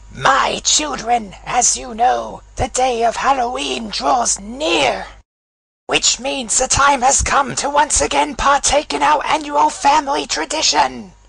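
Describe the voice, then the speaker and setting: A put-on character voice, fairly high in pitch, moves slowly with very wide pitch swings. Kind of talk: comic overacting. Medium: fan dub. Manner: pompous, preachy.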